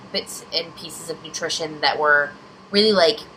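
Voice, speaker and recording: A woman talks amid noticeable background noise. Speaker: vlogger. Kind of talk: personal vlog storytelling. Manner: rambling, hesitant.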